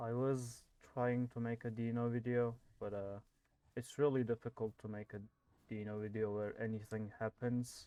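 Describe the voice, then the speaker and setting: A soft-spoken voice with a dark, mellow tone, monotone, flat intonation and a moderate pace. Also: man, medium pitch for a man. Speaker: gaming youtuber. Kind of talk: gameplay commentary.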